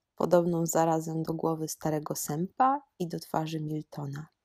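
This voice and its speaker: A woman's fairly low voice at a fairly slow pace, with a very clean recording, a silent background, and a dry, close sound with no echo. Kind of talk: storytelling in highland dialect, read-aloud folk tale. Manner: old mountain storyteller voice, slow, animated, dialect-coloured.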